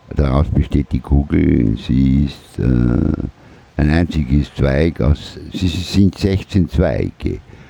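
Very slow speech from a man with a very deep, low pitch, ordinary pitch variation and very even loudness, over noticeable background noise. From Austria (Vorarlberg, then Vienna). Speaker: micronation president, art project heir. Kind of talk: interview.

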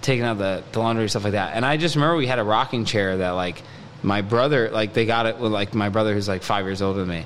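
A man speaks at a very fast pace with a fairly low pitch and ordinary pitch variation. Noticeable background noise is present. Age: 30s. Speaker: musician. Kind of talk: casual chat. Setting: studio.

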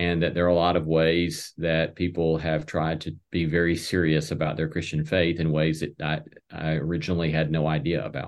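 A man talks in a very deep, low pitch with a monotone, flat intonation. He leaves hardly any pauses. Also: moderate pace. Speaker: theology professor. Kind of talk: interview. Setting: video call.

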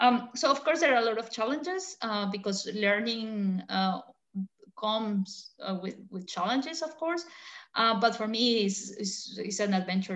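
A woman talks at a moderate pace with a Spanish accent. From Colombia. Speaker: battery research engineer. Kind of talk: interview.

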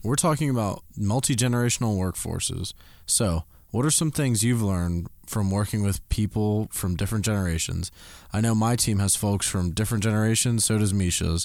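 A man talks fairly quickly in a normal speaking voice, fairly low with ordinary pitch variation and very even loudness, on a very clean recording with a silent background. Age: 20s. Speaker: podcast co-host. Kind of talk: casual chat.

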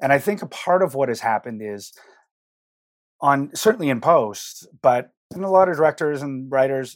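A man's normal speaking voice at a fairly high pitch with lively intonation, on a very clean recording with a silent background. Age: 50s. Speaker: picture editor. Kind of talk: interview conversation.

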